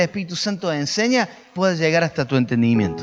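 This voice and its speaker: With music in the background, a man with a Córdoba Argentine accent speaks in lively intonation. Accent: Cordoba Argentine Spanish. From Argentina, Córdoba. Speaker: pastor. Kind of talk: sermon. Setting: home recording. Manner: emphatic.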